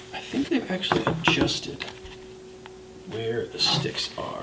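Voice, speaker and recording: Soft-spoken, fairly slow speech over noticeable background noise. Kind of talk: ASMR soft-spoken product review.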